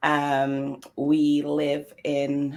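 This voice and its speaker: A woman with an English accent and a very deep, low pitch. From London, England. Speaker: interview guest. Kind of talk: casual interview.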